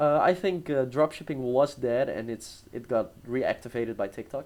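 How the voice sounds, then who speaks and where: A man with a Dutch accent, medium pitch, ordinary pitch variation and a moderate pace. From Netherlands, small town. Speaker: entrepreneur. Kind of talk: interview. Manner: casual, hesitant.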